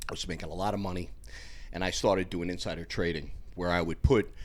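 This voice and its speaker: A man speaks in a New York accent with a fairly low pitch. He talks at a fairly quick pace. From New York, Westchester/Bronx. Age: 60s. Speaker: former bouncer and personal trainer. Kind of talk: casual chat. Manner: animated.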